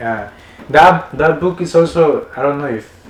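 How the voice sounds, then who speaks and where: Lively intonation from a man at a moderate pace, with noticeable background noise. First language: Spanish. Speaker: podcast host. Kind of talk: casual interview chat. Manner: halting, many repetitions and fillers.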